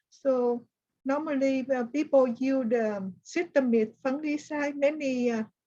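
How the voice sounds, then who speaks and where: A woman with a Vietnamese accent, high-pitched, with a dark, mellow tone, fairly even intonation and a fairly slow pace. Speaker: plant disease specialist. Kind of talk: online workshop discussion. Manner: halting.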